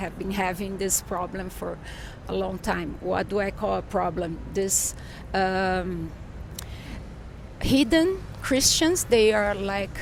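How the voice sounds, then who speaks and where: Speaking at a very slow pace, a woman with a Portuguese accent leaves long, frequent pauses. The room echo is audible. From Brazil. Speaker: journalist and author. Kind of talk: interview. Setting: in person in São Paulo. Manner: halting, searching for words.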